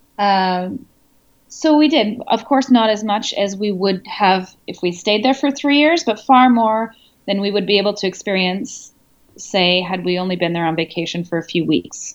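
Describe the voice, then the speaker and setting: A woman speaks with a Canadian accent at a medium pitch and a moderate pace. Her intonation is lively, and the background is quiet. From Canada. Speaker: expat blogger and writer. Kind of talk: interview. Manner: hesitant, with fillers.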